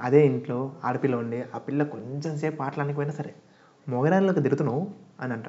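The speaker is a man with a plain, everyday voice. His pitch varies in an ordinary way. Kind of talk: podcast narration to listeners. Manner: casual, friendly.

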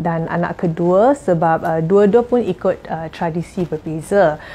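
A woman's dark, mellow tone at a very slow pace. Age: 40s. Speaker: jamu herbal practitioner. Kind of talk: tips sharing to camera. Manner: halting, many fillers. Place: home room.

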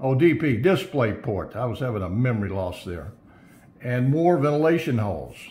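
With very wide pitch swings, a man speaks in a somewhat breathy voice. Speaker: tech product reviewer. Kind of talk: product unboxing commentary. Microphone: phone near.

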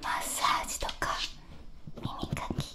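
Soft-spoken, a woman is whispering. Loud background noise surrounds her voice. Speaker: ASMR creator. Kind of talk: soft ASMR intro chat. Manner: soft close whisper into binaural ear. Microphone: studio mic.

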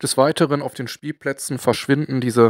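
On a very clean recording with a silent background, a man with a Ruhr accent speaks at a moderate pace in a dry, close sound with no echo. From Ruhr area, Germany. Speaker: model-building and industrial-heritage video maker. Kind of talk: casual talk to camera.

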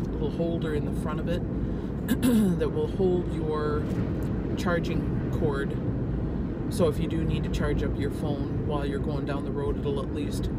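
Amid loud background noise, a woman talks at a moderate pace with long, frequent pauses. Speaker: vlogger. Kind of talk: casual vlog chat. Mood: relaxed, chatty. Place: car. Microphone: phone near.

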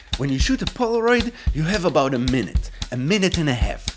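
A man talks at a moderate speed. Clear music can be heard behind him. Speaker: video creator. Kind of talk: casual vlog chat. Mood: warm, playful. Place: home room.

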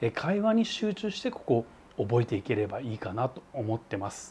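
The pace is fairly slow as this man talks. His voice has a dark, mellow tone with a somewhat breathy quality. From Japan. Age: 40s. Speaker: travel vlogger. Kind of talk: vlog monologue. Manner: casual, filler-heavy. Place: home room. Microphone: lapel.

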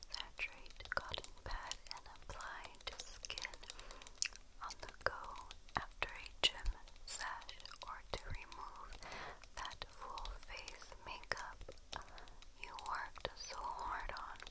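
Someone whispers at a very slow pace. Long pauses come often. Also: woman. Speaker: beauty reviewer. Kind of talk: soft-spoken product review, reading labels.

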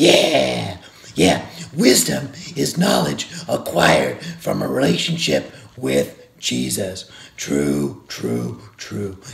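In a cartoonish character voice, a man speaks very slowly with a very deep, low pitch. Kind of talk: Bible devotional for kids. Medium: puppet. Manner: upbeat.

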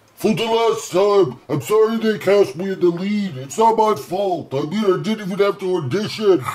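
High-pitched cartoonish character voice from a man, moderate pace, hardly any pauses. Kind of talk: comedy dialogue.

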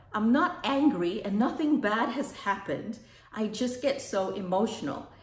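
The speaker is a woman. Room echo is audible. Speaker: vlogger. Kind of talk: casual vlog chat. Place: kitchen. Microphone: phone near.

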